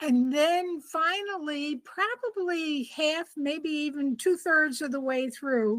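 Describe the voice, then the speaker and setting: Speaking at a very slow pace, a woman hardly pauses at all. Her high voice has lively intonation. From rural area. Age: 70s. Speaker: children's author. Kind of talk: interview.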